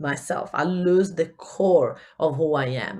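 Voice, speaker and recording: This woman has a fairly low pitch. It varies in an ordinary way. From Italy. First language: Italian. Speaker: business coach. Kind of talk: podcast talk. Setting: home recording. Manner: upbeat, casual.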